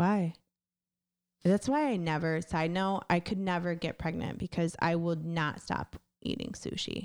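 Over a silent background on a very clean recording, a woman with an unremarkable speaking voice talks at a fairly slow pace, her pitch fairly low and her pitch variation ordinary. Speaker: guest, host's fiancée. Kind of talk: casual chat.

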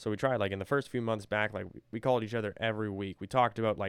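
On a very clean recording with a silent background, a man with a fairly low pitch speaks very fast in a monotone, flat way. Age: 20s. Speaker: author reading own work with commentary. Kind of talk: personal commentary monologue. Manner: casual, rambling with fillers.

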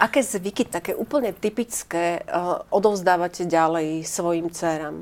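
With a plain, everyday voice, a woman speaks at a moderate pace with hardly any pauses. Her pitch is fairly low, with ordinary pitch variation. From eastern Slovakia, Stropkov area. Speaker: TV talk show host. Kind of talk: talk show interview. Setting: studio.

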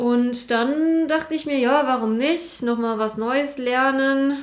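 Amid audible room echo, a woman talks at a fairly slow pace with ordinary pitch variation. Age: 20s. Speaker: IT consultant, career changer. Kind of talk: casual chat.

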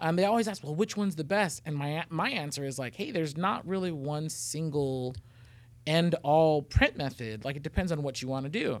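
This man talks at a fairly quick pace with a fairly high pitch and ordinary pitch variation. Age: 30s. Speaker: podcast host. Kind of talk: casual interview chat.

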